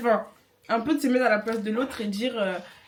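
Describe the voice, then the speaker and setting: Fairly even intonation from a female speaker, set against noticeable background noise. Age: 20s. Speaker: beginner YouTuber, vlogger. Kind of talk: casual chat, mukbang vlog.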